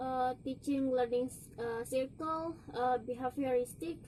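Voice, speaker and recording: In an Indonesian accent, a woman with a high pitch and a dark, mellow tone speaks at a fairly slow pace. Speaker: university student. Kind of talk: presentation. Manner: halting.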